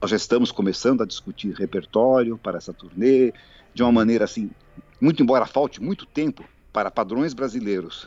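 A man speaks at a medium pitch with ordinary pitch variation, in a plain, everyday voice. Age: 60s. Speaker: pianist and composer. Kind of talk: interview.

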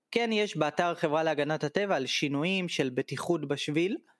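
A man with a normal speaking voice and a fairly high pitch talks at a moderate pace with ordinary pitch variation, the very clean recording silent in the background and dry and close with no echo. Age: 30s. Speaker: tour guide. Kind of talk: casual interview.

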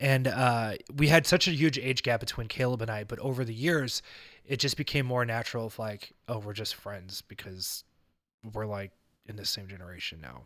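A man speaks at a medium pitch and moderate pace in a plain, everyday voice, with big swings in loudness and ordinary pitch variation. The recording is very clean, with a silent background. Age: 30s. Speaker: podcast host. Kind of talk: casual chat.

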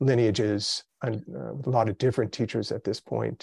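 With a calm tone and vocal fry, a man at a medium pitch speaks at a fairly quick pace with ordinary pitch variation, the sound dry and close with no echo. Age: 50s. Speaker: meditation teacher. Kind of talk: casual chat.

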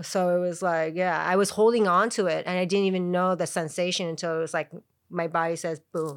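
Her intonation stays fairly even as a woman talks at a fairly quick pace in a fairly low pitch. The recording is very clean with a silent background. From Chicago, US Midwest. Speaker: yoga practitioner. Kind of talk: casual chat.

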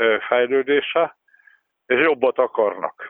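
A man's voice at medium pitch. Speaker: basketball expert. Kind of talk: interview. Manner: halting.

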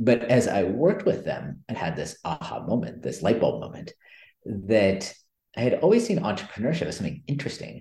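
At a fairly quick pace, a man with an American accent speaks at a medium pitch in a dark, mellow tone. His pitch swings very widely, with vocal fry. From US West Coast, California Bay Area. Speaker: business school lecturer and author. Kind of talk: interview.

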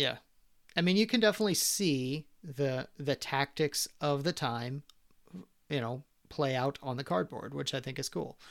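On a very clean recording with a silent background, a man with a fairly high pitch and a normal speaking voice talks at a moderate pace with lively intonation. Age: 40s. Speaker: board game podcast co-host. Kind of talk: casual chat.

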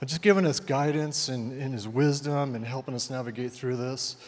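A man is speaking. His pitch is medium and his pace moderate. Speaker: church elder. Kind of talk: introduction speech. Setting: church. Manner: reserved.

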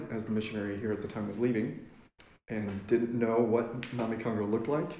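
With an American accent, a man speaks in a plain, everyday voice at a medium pitch, a fairly quick pace, and fairly even intonation. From Kenya and Lubbock, Texas. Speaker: missionary. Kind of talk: casual interview. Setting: at a dining room table.

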